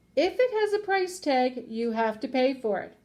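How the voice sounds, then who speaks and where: A woman's raised, projected put-on character voice, high-pitched, at a moderate pace with very wide pitch swings. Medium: read story.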